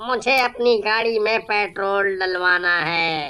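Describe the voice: A cartoonish character voice, female-sounding, at medium pitch for a woman and a fairly slow pace.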